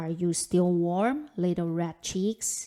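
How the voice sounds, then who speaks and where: A woman's put-on character voice, fairly low in pitch, at a very slow pace. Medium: read story.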